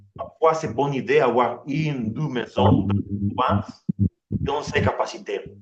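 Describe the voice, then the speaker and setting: Fairly slow, medium-pitched speech from a man. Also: lively intonation. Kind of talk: online meeting presentation. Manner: halting, many repetitions.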